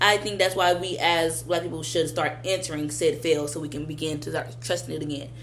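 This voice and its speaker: A woman with an American accent, plus audible room echo. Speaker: vlogger. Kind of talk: casual monologue.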